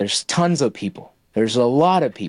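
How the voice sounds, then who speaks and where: Recorded dry and close with no echo against a silent background, a man with an American accent talks with lively intonation. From Middle East and United States, Indian parents from Kerala. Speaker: audio-visual technical sales engineer. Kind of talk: interview conversation. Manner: hesitant fillers.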